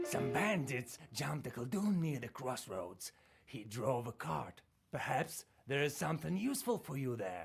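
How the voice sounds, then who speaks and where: A put-on character voice sits at a low-to-middle pitch with very wide pitch swings. It moves at a moderate pace while faint music plays in the background. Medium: game stream.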